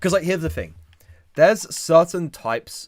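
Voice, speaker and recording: A man speaks with a British accent. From Britain. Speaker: YouTuber. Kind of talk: live stream chat. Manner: halting.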